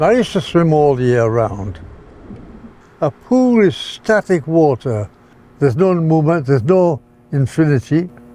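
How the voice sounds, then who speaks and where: Over noticeable background noise, a man with a fairly high pitch speaks at a moderate pace with very wide pitch swings, very even loudness and long, frequent pauses. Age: 80s+. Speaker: interviewee in documentary. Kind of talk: interview.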